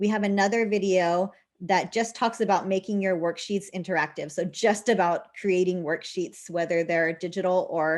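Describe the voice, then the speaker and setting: The woman's pitch is medium and her intonation fairly even. Behind her, the background stays quiet. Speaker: teacher technology trainer. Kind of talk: tutorial. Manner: fast.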